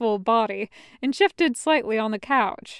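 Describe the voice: The recording captures plain reading aloud.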